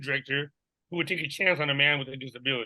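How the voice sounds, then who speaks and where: A man speaks loudly in a bright, sharp tone with ordinary pitch variation. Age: 40s. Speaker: teacher, coach and author. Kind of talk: interview. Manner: animated.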